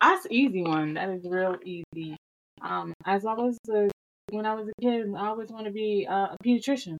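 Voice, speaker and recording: At a moderate pace, a woman with a Southern US accent speaks at a medium pitch with ordinary pitch variation. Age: 30s. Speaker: podcast co-host. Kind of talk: casual chat.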